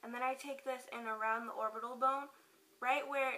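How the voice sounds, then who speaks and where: There is noticeable background noise as a woman speaks at a high pitch with fairly even intonation. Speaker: beauty vlogger. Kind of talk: tutorial. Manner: casual, filler-heavy.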